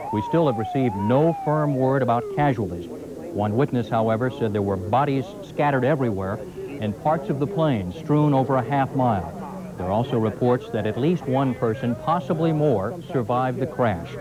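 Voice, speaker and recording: Noticeable background noise is present while a man talks at a moderate speed. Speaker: news anchor. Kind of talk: news reading. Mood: serious, measured. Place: studio. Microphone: lapel.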